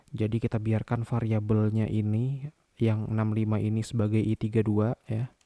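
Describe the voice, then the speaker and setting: Fairly quick and fairly low in pitch, a man speaks with a dark, mellow tone. The sound is dry and close with no echo, in a very clean recording with a silent background. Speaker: programming tutor. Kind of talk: coding tutorial narration.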